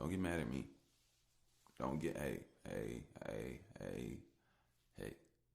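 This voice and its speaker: The speaker has an American accent, vocal fry and lively intonation. Long pauses come often. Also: man. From United States. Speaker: solo podcaster. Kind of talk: casual monologue. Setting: audio-only podcast.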